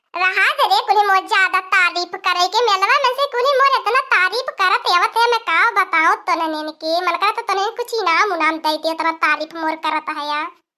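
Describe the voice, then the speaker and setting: A woman performs a cartoonish character voice at an extremely high pitch with lively intonation. She speaks with hardly any pauses. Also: moderate pace. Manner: rustic, bossy.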